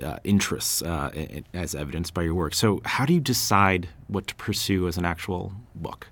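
The voice carries vocal fry. The pace is moderate. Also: man. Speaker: interviewer. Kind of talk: casual interview.

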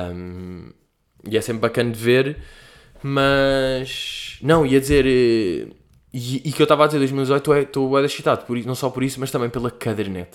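Here the speech moves at a moderate pace with ordinary pitch variation. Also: man, medium pitch for a man. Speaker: podcast host. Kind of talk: casual solo monologue. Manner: animated.

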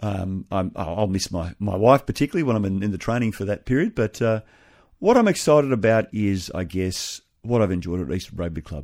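Speaking at a fairly quick pace with an Australian accent, a man with a fairly low pitch and ordinary pitch variation is heard on a very clean recording with a silent background. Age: 50s. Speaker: pastor becoming navy chaplain. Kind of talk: radio interview. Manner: halting.

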